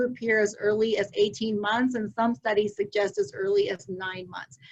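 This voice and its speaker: A woman's lively intonation at a moderate pace. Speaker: early childhood education advocate. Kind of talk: webinar presentation. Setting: video call webinar.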